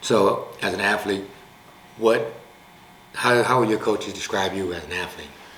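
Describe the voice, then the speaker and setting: A man with an American accent speaks at a moderate pace and fairly low pitch, with fairly even intonation, big swings in loudness and long, frequent pauses. Audible room echo and noticeable background noise fill the recording. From US West Coast, Long Beach, California. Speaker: sports talk show host, coach. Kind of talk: casual interview.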